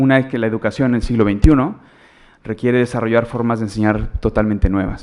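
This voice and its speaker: In a Mexican accent, a man talks very fast at a fairly low pitch with fairly even intonation. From Mexico. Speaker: education consultant, conference speaker. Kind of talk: lecture. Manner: halting, many fillers.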